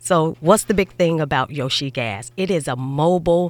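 A woman's very deep, low voice with an American accent and ordinary pitch variation, in a very clean recording with a silent background. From Chicago. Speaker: podcast host. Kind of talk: casual interview.

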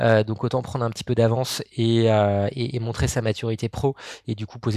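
Recorded very cleanly against a silent background, a man speaks at a moderate pace in a normal speaking voice of medium pitch. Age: 30s. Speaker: startup co-founder and sales trainer. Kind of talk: podcast interview.

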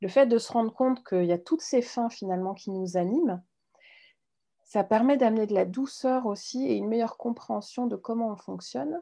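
Over a quiet background, a woman with a dark, mellow tone talks at a fairly quick pace. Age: 40s. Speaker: mindful eating instructor. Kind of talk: interview.

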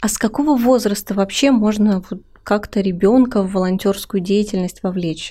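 Somewhat breathy and dark, mellow in tone, the voice moves at a moderate pace with ordinary pitch variation. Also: woman. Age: 20s. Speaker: podcast host. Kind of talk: interview. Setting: studio.

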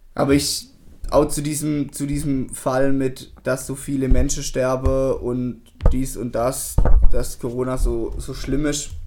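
Noticeable background noise sits under the recording. A man speaks fairly slowly. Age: 20s. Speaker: podcast co-host, plastics technologist. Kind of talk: casual chat.

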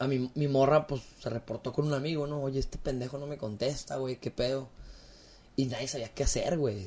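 A man with a dark, mellow tone and a somewhat breathy voice talks at a fairly quick pace with fairly even intonation. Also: medium pitch for a man. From Mexico, Torreón, Coahuila (La Laguna). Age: 20s. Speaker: podcaster and family business owner. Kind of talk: casual chat.

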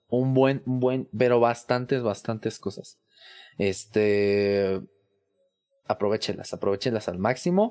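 A dark, mellow tone at a fairly slow pace. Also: man. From Mexico City. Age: 20s. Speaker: tech content creator and IT professional. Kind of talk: casual interview.

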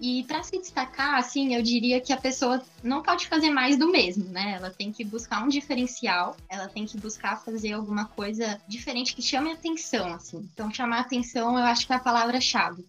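A woman speaks at a moderate pace with a high pitch and lively intonation, hardly pausing at all. Noticeable background noise sits behind her. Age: 20s. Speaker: career mentor, company founder. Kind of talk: casual interview.

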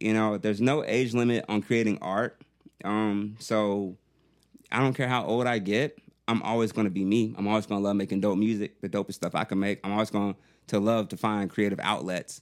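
In a very clean recording with a silent background, a man with a fairly low pitch talks at a fairly quick pace using fairly even intonation. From US South, Augusta, Georgia. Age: 30s. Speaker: rapper. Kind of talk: casual chat.

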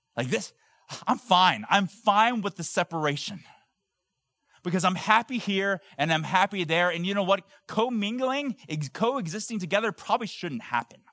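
A raised, projected voice with a bright, sharp tone and lively intonation moves at a moderate pace, with a dry, close sound and no echo. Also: man, high pitch for a man. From US, Korean immigrant household. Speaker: pastor. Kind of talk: sermon. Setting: church.

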